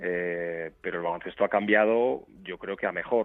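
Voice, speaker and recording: Here is a man with an ordinary speaking voice. He speaks at a moderate pace with ordinary pitch variation. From Basque Country, Portugalete (Biscay). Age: 40s. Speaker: basketball coach. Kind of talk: interview.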